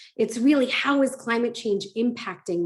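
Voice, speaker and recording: With an American accent, a woman has a plain, everyday voice and ordinary pitch variation. She speaks at a moderate pace in a very clean recording with a silent background. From United States. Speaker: ESG advisor, conference keynote speaker. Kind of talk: conference keynote.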